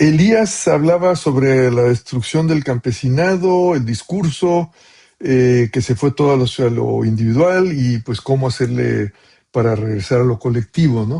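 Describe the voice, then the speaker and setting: A man speaks fairly slowly in a somewhat breathy voice with a dark, mellow tone. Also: medium pitch for a man, lively intonation. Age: 70s. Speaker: professor. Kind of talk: Q&A answer to doctoral students. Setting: video call. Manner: casual, with many fillers.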